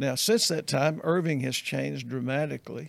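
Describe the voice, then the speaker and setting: Here a man talks with a Southern US accent. His pace is moderate. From US South. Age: 70s. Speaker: pastor. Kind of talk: casual chat.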